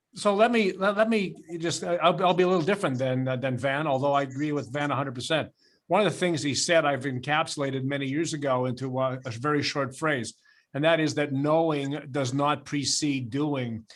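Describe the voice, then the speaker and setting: On a very clean recording with a silent background, a man with a Canadian accent speaks at a fairly quick pace, his fairly high pitch showing ordinary pitch variation. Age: 60s. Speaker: retired insurance advisor. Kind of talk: panel discussion. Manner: animated.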